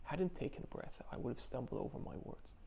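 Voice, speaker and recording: A man is speaking. He mumbles his words. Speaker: video blogger. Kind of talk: personal video diary. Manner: mumbling, stumbling.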